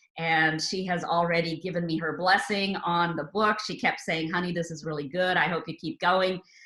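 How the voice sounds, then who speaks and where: Over noticeable background noise, a woman with a fairly low pitch and fairly even intonation speaks with hardly any pauses. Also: moderate pace. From India, Rajasthan, then abroad from age nine. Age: 60s. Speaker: novelist. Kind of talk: interview. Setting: radio interview. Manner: conversational with filler uhs.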